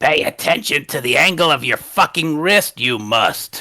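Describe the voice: A man performs a put-on character voice pitched fairly high. He keeps a moderate pace.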